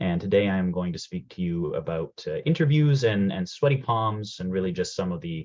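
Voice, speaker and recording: A man's very deep, low voice in a Canadian accent, with lively intonation and a fairly quick pace. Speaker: program manager presenting a career workshop. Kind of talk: webinar presentation. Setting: video call from home. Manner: fast.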